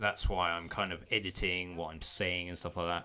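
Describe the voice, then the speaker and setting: On a very clean recording with a silent background, a man speaks with a very deep, low pitch and a bright, sharp tone. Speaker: gaming YouTuber. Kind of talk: unscripted channel update vlog. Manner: halting, often stuck for words; not fast or flowing.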